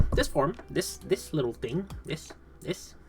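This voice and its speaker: Noticeable background noise sits behind a very slow voice with a Quebec accent. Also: man. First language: French. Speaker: vtuber streamer. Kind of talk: live stream debut presentation, improvised. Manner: halting, stammering.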